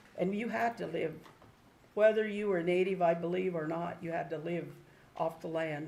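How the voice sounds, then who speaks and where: A woman with an American accent and ordinary pitch variation, in audible room echo. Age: 70s. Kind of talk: public testimony. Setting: public meeting room.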